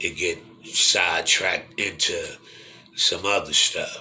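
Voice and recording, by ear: Audible room echo surrounds a man speaking at a slow pace with a low pitch, a bright, sharp tone and fairly even intonation.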